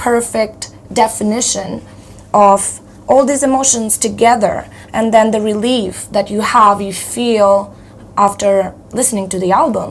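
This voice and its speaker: Over noticeable background noise, a woman with a fairly high pitch talks fairly slowly with fairly even intonation. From Moldova. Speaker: metal band vocalist. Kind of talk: interview.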